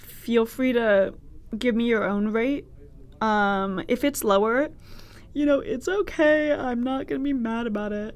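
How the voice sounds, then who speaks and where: A woman with an American accent talks fairly slowly at a fairly high pitch. Her intonation is lively, and the background is quiet. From US West Coast, Berkeley, California (Bay Area). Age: 20s. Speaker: podcast host, college student. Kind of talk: casual solo monologue. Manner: casual, chatty with fillers.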